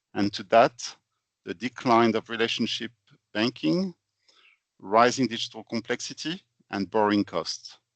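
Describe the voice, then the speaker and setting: A man with a French accent speaks at a medium pitch and a moderate pace. The background is quiet. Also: dry, close sound with no echo. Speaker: finance consultant, company founder. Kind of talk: webinar presentation. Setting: online webinar.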